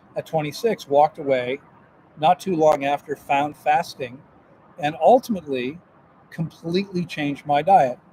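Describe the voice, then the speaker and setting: A man's fairly high voice at a moderate pace, with long, frequent pauses, ordinary pitch variation, and a dry, close sound with no echo. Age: 60s. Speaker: health and fasting coach, livestream host. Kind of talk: live-stream monologue. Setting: live stream from a grocery store. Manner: animated; halting, with repeated words.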